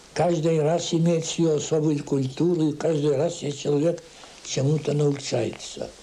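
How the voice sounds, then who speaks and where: With audible room echo and noticeable background noise, a man at a fairly high pitch speaks fairly slowly, in monotone, flat intonation at very even loudness. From Latvia, then Russia and Manchuria. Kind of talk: interview.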